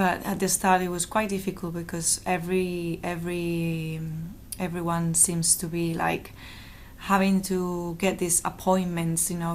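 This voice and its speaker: A woman speaks in a Spanish accent with a fairly low pitch at a fairly slow pace. Her intonation is monotone and flat. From Valencia, Spain. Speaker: interviewee. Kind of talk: interview. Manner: halting.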